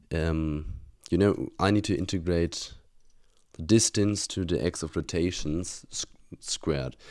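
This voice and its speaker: A man's very deep, low voice with a German accent, at a fairly slow pace with ordinary pitch variation and long, frequent pauses, in a very clean recording with a silent background. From Germany. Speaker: university student. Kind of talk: casual vlog, reviewing exam solutions. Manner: halting, many fillers and restarts.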